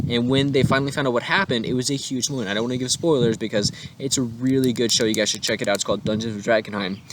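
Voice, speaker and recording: A man talks at a very fast pace with hardly any pauses, his medium pitch moving with ordinary variation over noticeable background noise. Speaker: tabletop RPG content creator. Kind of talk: tutorial. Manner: animated.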